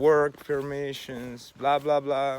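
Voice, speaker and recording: A man with a non-native accent, fairly high-pitched, in a flat monotone. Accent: non-native English speaker. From Russia or Ukraine. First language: Russian. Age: 40s. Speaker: video blogger. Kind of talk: personal monologue. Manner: halting.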